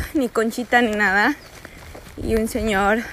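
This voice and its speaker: Noticeable background noise sits under the speech. It unfolds at a very slow pace. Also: woman. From US–Mexico border region. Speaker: travel vlogger on pilgrimage. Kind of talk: vlog monologue. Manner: halting, many fillers.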